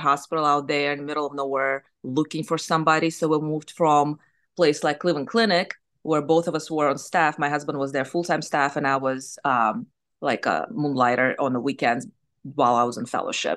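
Against a quiet background, a woman with a Russian accent speaks at a fairly quick pace in a very deep, low voice with ordinary pitch variation. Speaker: surgeon and business owner. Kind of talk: interview.

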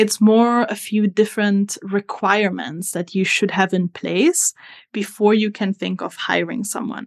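A woman's medium-pitched voice in an Italian accent, fairly slow and fairly even in intonation, with a dry, close sound, no echo and a quiet background. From Italy. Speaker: social media strategist. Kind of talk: interview conversation.

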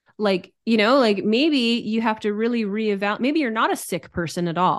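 A woman with a plain, everyday voice speaks at a fairly high pitch with lively intonation against a quiet background. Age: 30s. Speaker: human design teacher. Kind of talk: casual chat.

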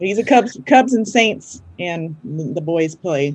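Lively intonation marks a woman's unremarkable speaking voice, pitched fairly low. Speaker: podcast host and IEP coach. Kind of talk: casual interview chat.

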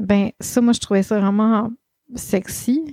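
In a Quebec accent, a woman speaks very slowly at a medium pitch, her dark, mellow tone carrying fairly even intonation in a dry, close sound with no echo. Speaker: life coach and podcast host. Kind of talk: solo podcast monologue. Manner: casual, with many fillers.

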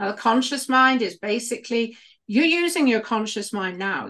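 With a British accent, a woman speaks at a moderate pace in a fairly high voice with lively intonation. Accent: British, noticeable. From United Kingdom. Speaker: healer and former midwife. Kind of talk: casual chat, podcast conversation.

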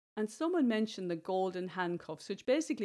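A woman speaks with an Irish accent. Her tone is dark and mellow, her pace fairly quick. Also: very clean recording, silent background. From Ireland, rural village. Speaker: podcast host and bestselling author. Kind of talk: solo podcast monologue, motivational talk.

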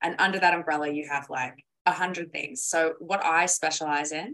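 The pitch varies an ordinary amount. It is a normal speaking voice. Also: woman. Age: 20s. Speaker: copywriter and marketing expert. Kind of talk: casual interview chat.

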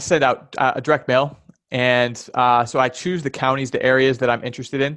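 Talking at a fairly quick pace, a man with an American accent speaks at a medium pitch. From US Midwest, Chicago area. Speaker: land investor. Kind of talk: interview. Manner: halting, many fillers.

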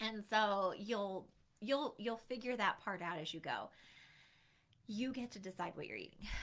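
Delivery comes at a fairly slow pace. Its tone sounds bright and sharp. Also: woman. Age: 40s. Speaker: weight loss coach. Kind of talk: solo podcast monologue. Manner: casual with fillers and restarts.

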